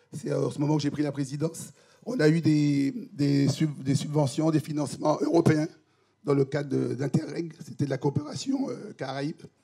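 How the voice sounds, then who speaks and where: Fairly high in pitch, a man speaks with a dark, mellow tone. His pace is moderate and his intonation fairly even. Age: 60s. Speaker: HIV patient advocate, association president. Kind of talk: personal testimony at a conference panel. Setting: conference with audience. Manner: halting, many repetitions and hesitations.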